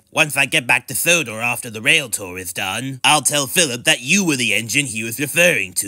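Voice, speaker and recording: Speaking at a moderate pace, a man uses a put-on character voice at medium pitch. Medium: audio drama.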